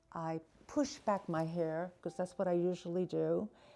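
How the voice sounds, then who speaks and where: A woman with an American accent and a dark, mellow tone speaks at a fairly slow pace. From New York City. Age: 70s. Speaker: actor, stroke survivor. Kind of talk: testimony. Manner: halting.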